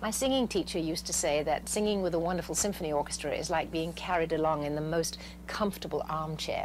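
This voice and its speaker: Over music in the background, a woman speaks at a very fast pace with hardly any pauses and very even loudness. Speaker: singer and actress. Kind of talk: interview answer. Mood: warm, enthusiastic. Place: studio.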